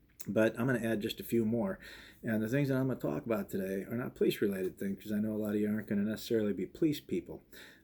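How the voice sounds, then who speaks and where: In a very fast mumble, a man talks with a fairly low pitch, a dark, mellow tone and ordinary pitch variation. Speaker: police chief. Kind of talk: advice talk to students. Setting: office, recorded to camera. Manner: casual; mumbles slightly.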